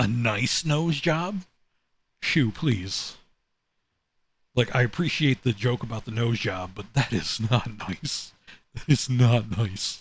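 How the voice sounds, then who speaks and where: Very slow and broken by long, frequent pauses, a man's somewhat breathy voice sits at a medium pitch with lively intonation on a very clean recording with a silent background. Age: 30s. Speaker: vtuber streamer. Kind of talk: reaction stream commentary.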